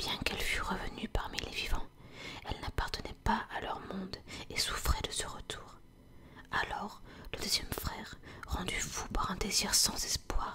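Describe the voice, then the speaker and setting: Whispered speech at a fairly slow pace, with long, frequent pauses and noticeable background noise. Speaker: ASMR content creator. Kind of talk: whispered ASMR reading of a fairy tale.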